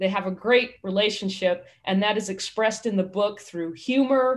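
Behind her, the background stays quiet. A woman speaks at moderate speed, her pitch varying in an ordinary way. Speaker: minister hosting online service. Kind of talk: sermon-style talk introducing a guest. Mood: warm and upbeat. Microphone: video call.

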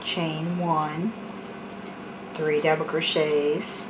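A woman speaks at a very slow pace with low pitch and little pitch movement. Clear background noise is present.

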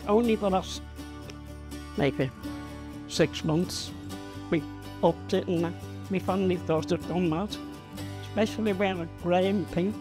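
Clear music plays in the background behind a woman. Her voice is very deep and low, with very wide pitch swings. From Liverpool, England. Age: 80s+. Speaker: long-time resident of social housing, pensioner. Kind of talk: interview answer, chatty personal reminiscence. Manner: chatty, warm, animated. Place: home room. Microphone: lapel.

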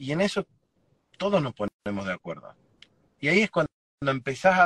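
A man's bright, sharp tone at a moderate pace, dry with no echo, against a quiet background. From Argentina, Chaco province. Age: 40s. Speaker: political candidate; candidate. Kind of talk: interview. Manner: halting, repeats words. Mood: earnest, concerned. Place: car. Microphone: video call.

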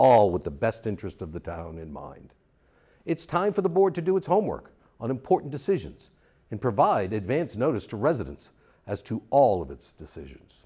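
Speaking at a fairly quick pace with vocal fry, a man has a dark, mellow tone, big swings in loudness and very wide pitch swings against a quiet background. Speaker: election candidate. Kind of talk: campaign statement. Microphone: lapel.

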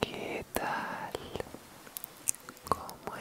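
A woman is whispering. Her words come out in a whisper throughout. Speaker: ASMR creator. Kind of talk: ASMR trigger-words video, whispered. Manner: soft, whispered, relaxing. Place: home room. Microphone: studio mic.

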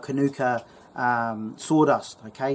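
A man's voice with fairly even intonation. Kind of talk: tutorial. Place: garden. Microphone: phone near.

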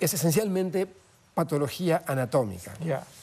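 Lively intonation in a man's high voice. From Andean South America (Peru, Bolivia, Ecuador), Argentine parents. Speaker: pathologist and medical professor; medical professor. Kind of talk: interview. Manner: many filler hesitations (eh). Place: studio. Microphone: lapel.

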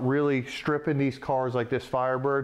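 At a moderate pace, a man is talking. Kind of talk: tutorial. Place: workshop.

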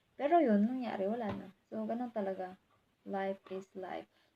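A woman's medium-pitched voice, dark and mellow in tone, at a fairly slow pace. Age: 20s. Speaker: vlogger. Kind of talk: casual vlog monologue.

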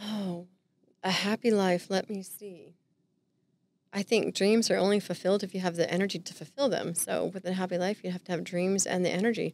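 In an American accent, a woman talks at a fairly quick pace with fairly even intonation and a dry sound with no echo. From Southern California. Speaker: real estate agent; podcast guest. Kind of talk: casual interview chat. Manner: joking, playful. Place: studio. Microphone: studio mic.

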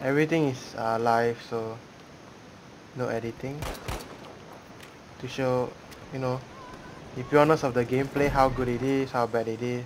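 This man speaks in a monotone, flat way at a moderate pace, with long, frequent pauses. Noticeable background noise sits behind him. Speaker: gamer. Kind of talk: gameplay commentary. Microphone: headset.

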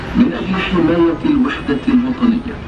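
Very slow speech comes through clearly audible background noise. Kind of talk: public address slogans. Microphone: pa.

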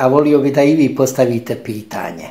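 A man speaks in a dark, mellow tone, fairly high for a man, with ordinary pitch variation. The background is quiet. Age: 50s. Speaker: Franciscan friar; speaker. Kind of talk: spoken homily. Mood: calm, warm, reflective. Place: home room. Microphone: phone near.

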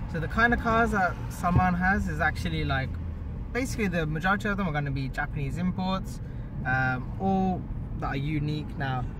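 With noticeable background noise but dry sound with no echo, a man talks at a fairly quick pace. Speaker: car vlogger. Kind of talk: casual vlog chat. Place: car. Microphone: phone near.

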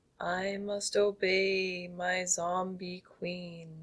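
In a put-on character voice, the words come at a very slow pace in a monotone, flat intonation. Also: female-sounding voice, medium pitch for a woman. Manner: monotonous.

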